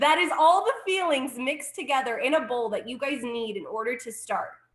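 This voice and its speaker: A woman with a high voice speaks at a moderate pace, her tone animated and her intonation lively. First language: Spanish. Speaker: network marketing director. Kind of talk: sales pitch.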